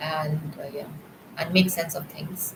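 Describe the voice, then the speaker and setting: A woman speaks in a very deep, low pitch. Noticeable background noise runs behind her. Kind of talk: testimony. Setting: live stream. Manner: halting.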